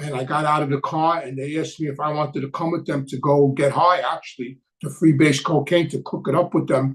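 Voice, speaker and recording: A man with a New York accent, somewhat breathy and fairly high in pitch, at a fairly quick pace with fairly even intonation. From New York City. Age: 70s. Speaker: former mobster turned addiction counselor and channel host. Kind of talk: live Q&A chat. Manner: halting, many fillers.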